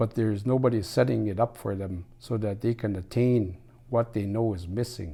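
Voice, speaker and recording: On a very clean recording with a silent background, a man talks at a moderate pace and medium pitch in a dark, mellow tone with ordinary pitch variation. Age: 60s. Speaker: former First Nations chief, elder. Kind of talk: interview.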